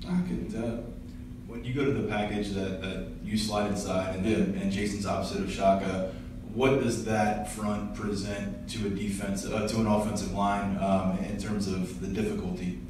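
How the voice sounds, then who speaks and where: Moderate pace amid noticeable background noise and strong room echo. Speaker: sports reporter. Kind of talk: press interview. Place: meeting room.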